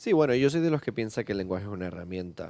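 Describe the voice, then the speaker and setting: The recording is very clean and the background silent. A man talks in a dark, mellow tone. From Canary Islands (La Orotava, Tenerife). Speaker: writer. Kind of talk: podcast interview.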